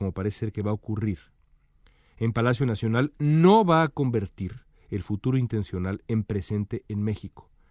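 A man's medium-pitched, ordinary speaking voice at a moderate pace with ordinary pitch variation, dry and close with no echo, on a very clean recording with a silent background. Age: 40s. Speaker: political commentator. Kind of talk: opinion monologue.

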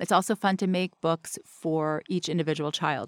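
With an American accent and a plain, everyday voice, a woman speaks at a moderate pace and fairly low pitch in a dry, close sound with no echo on a very clean recording with a silent background. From US South. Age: 50s. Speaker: memory expert, mother. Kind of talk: casual interview.

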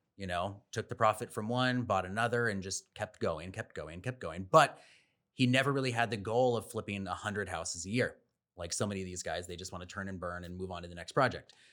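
A man with an American accent speaks fairly quickly at a fairly low pitch, his tone bright and sharp. His loudness swings widely, and the recording is very clean with a silent background. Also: ordinary pitch variation. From San Diego, California. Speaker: real estate agent. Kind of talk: podcast interview.

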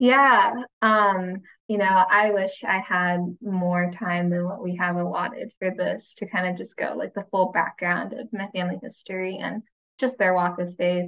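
A woman with an American accent uses an ordinary speaking voice at a medium pitch, talking at a fairly slow pace with fairly even intonation. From United States. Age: 20s. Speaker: recent graduate, nonprofit staffer. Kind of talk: roundtable discussion.

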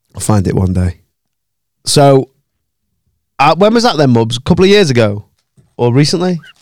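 Speaking with a Manchester accent at a moderate pace, a man uses a fairly high pitch with very wide pitch swings and very even loudness, leaving long, frequent pauses in a dry, close sound with no echo. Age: 30s. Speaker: podcast host. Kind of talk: casual chat.

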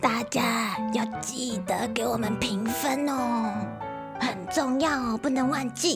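A put-on character voice with a fairly high pitch, delivered at a fairly slow pace over clear music in the background. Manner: silly, cartoonish.

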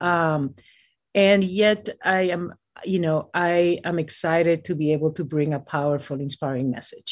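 In a Spanish accent, a woman talks at a moderate pace and a fairly low pitch. Her pitch varies in an ordinary way over a quiet background. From Peru, Lima. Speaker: mountaineer. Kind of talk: interview. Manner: halting.

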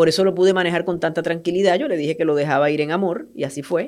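On a very clean recording with a silent background, a woman speaks with a very deep, low pitch and ordinary pitch variation. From Puerto Rico. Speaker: journalist and cancer patient. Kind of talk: interview testimony.

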